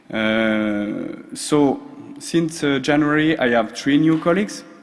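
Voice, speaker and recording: Amid noticeable background noise and audible room echo, a man talks at a very slow pace with ordinary pitch variation. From France, Strasbourg. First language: French. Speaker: social procurement expert. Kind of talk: conference presentation. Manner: hesitant, many fillers.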